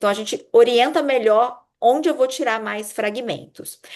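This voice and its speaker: A woman talks at a moderate pace in a normal speaking voice with ordinary pitch variation. The background is quiet. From Brazil, Minas Gerais (Juiz de Fora). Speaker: urologist giving a medical lecture. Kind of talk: lecture.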